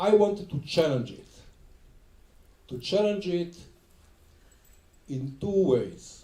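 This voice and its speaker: Audible room echo surrounds a man's dark, mellow tone as his lively intonation, big swings in loudness and long, frequent pauses come through. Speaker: film director. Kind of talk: onstage film introduction conversation. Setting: stage with audience.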